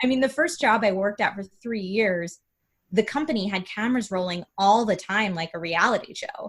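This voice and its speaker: A woman talks with an enthusiastic tone at a fairly quick pace. Her voice is somewhat breathy, at a medium pitch with ordinary pitch variation. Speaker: gaming video creator and streamer. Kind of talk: interview conversation. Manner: speeds up and rises in pitch when excited.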